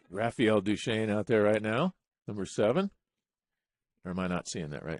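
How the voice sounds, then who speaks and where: An ordinary speaking voice moves at a moderate pace with ordinary pitch variation, the sound dry and close with no echo. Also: man, fairly low pitch for a man. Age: 60s. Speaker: sports commentator. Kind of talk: live commentary.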